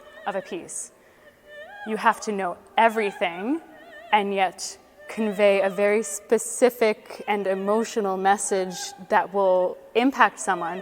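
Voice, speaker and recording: At a fairly slow pace and medium pitch, a woman with a Canadian accent speaks with fairly even intonation and long, frequent pauses. Music plays in the background. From Canada, Ottawa. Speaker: opera singer. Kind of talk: interview.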